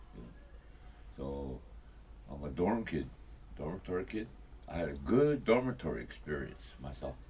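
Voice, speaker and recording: A man with a Lakota accent speaks at a moderate pace in a very deep, low voice with a dark, mellow tone, very wide pitch swings, big swings in loudness, vocal fry, and long, frequent pauses. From Pine Ridge, South Dakota. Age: 70s. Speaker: elder. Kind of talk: interview. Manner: halting.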